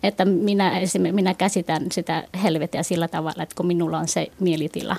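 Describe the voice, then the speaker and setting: Her intonation stays monotone and flat at a moderate pace. This woman's pitch is fairly low. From Finland, moved from Vietnam at age 7. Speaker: Buddhist youth organization member. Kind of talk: radio panel discussion. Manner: hesitant, many fillers.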